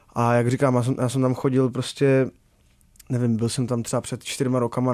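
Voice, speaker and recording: A man's medium-pitched voice at a fairly quick pace, in a monotone, flat intonation. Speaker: singer. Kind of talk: casual interview.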